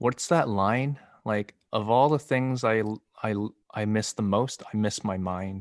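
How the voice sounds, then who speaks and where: In an unremarkable speaking voice, a man talks at a fairly slow pace and a fairly low pitch, with ordinary pitch variation, in a dry, close sound with no echo and a quiet background. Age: 30s. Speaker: actor, podcast co-host. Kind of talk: casual chat.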